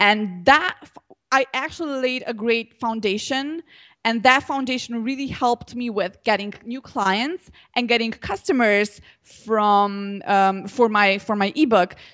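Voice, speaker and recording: Against a quiet background, a woman with a fairly high pitch and ordinary pitch variation speaks at a fairly slow pace, with big swings in loudness. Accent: Slovenian. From Slovenia. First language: Slovenian. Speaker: social media entrepreneur. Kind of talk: interview. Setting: Skype call.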